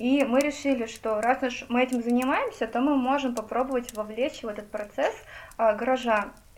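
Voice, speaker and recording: The speech runs at a moderate pace with fairly even intonation. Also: woman, high pitch for a woman. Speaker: journalist. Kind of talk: casual chat.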